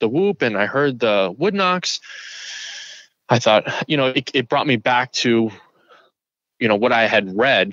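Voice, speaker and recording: A man talks with lively intonation. The sound is dry and close, with no echo. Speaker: hiker who had a Bigfoot encounter. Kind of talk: interview answer, telling his story.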